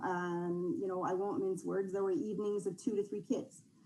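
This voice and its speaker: A woman speaks at a fairly quick pace with a medium pitch. Room echo is audible. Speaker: youth organization representative. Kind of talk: council presentation.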